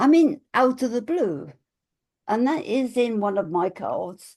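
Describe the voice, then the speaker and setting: A woman speaks in a dark, mellow tone with vocal fry and very wide pitch swings. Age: 80s+. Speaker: spiritual teacher and author. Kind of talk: casual chat.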